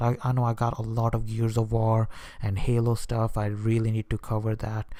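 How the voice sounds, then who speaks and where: A man's dark, mellow voice at medium pitch, monotone and flat. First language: Hindi/Urdu. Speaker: YouTube vlogger. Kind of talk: casual vlog talk to camera. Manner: hesitant, many fillers and restarts.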